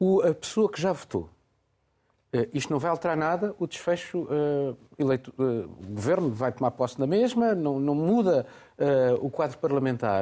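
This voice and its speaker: A man's fairly high-pitched voice with a dark, mellow tone, very wide pitch swings, a moderate pace and long, frequent pauses, over a quiet background. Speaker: radio host. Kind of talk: news reading and moderated discussion.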